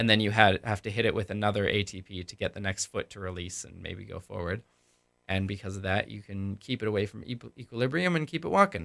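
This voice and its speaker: A man's put-on character voice, raspy and fairly low, very fast, with big swings in loudness, dry and close with no echo, on a very clean recording with a silent background. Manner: talking fast.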